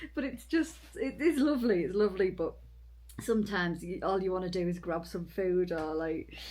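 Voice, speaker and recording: With a dark, mellow tone and some vocal fry, a woman speaks at a moderate pace at medium pitch, her intonation lively. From Britain. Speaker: long-distance hiker and vlogger. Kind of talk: casual chat. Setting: indoors in a cabin.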